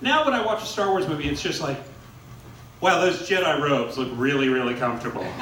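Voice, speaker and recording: A man's fairly high-pitched voice at a very fast pace with lively intonation, amid noticeable background noise and audible room echo. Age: 40s. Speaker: stand-up comedian. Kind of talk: stand-up. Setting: stage with audience.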